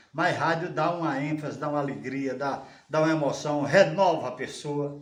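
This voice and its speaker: There is audible room echo and noticeable background noise as a man speaks at a fairly high pitch. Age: 70s. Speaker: radio broadcaster. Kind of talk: interview. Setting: at home.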